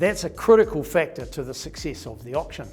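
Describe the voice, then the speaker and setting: A man at a moderate pace with music in the background. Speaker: auctioneer, national auction manager. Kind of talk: corporate update talk to camera.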